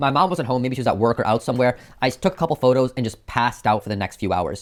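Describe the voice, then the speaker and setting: A man at a medium pitch with an American accent, talking at a very fast pace, on a very clean recording with a silent background. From United States. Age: 20s. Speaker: YouTuber and software engineer. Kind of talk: personal vlog narration. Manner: casual, conversational.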